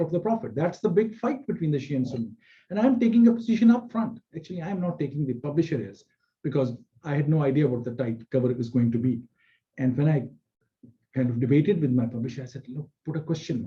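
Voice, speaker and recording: Very fast and somewhat breathy, a man's fairly high voice carries a dark, mellow tone and very wide pitch swings. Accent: Pakistani. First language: Punjabi. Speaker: scholar and author. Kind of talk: public talk. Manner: halting, many fillers.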